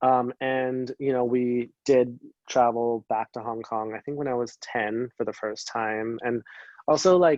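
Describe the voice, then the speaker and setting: A man with a Canadian accent and a plain, everyday voice speaks fairly slowly at medium pitch with ordinary variation, in a dry, close sound with no echo and a quiet background. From Canada, Greater Vancouver area. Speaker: dancer. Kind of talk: interview. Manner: casual, many fillers (um, like).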